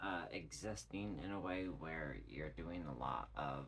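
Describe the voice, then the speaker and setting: Amid audible room echo, a man talks at a very slow pace with lively intonation and vocal fry. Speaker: tarot reader. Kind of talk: tarot reading monologue. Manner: halting.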